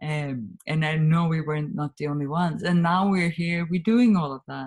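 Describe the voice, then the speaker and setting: With a Swedish accent, a woman speaks in a very deep, low pitch that is somewhat breathy. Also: ordinary pitch variation, moderate pace. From Sweden. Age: 50s. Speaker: communication trainer and author. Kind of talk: interview.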